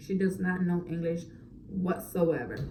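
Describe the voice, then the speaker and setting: There is audible room echo as a woman speaks. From Orlando, Florida, Puerto Rican family. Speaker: mom vlogger. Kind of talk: casual Q&A chat to camera. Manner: casual, filler-heavy.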